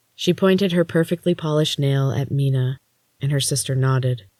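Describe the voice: Against a quiet background, the speaker offers plain reading aloud with ordinary pitch variation.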